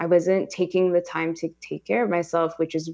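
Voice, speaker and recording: Against a quiet background, a woman with a Californian accent speaks in a fairly low voice with a dark, mellow tone. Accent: Californian American. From Los Angeles. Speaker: startup founder. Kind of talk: interview.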